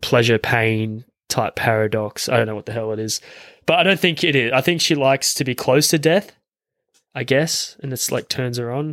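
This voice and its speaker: In a very clean recording with a silent background and a dry, close sound with no echo, a man with an Australian accent speaks at a moderate pace, his medium pitch showing ordinary variation. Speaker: film podcast host. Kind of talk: casual chat.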